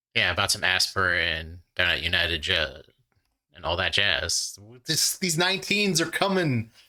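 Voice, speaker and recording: A man talks at a moderate pace. He speaks with a Midwestern US accent. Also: very clean recording, silent background. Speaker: trivia channel host. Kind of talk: casual play-along commentary. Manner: animated.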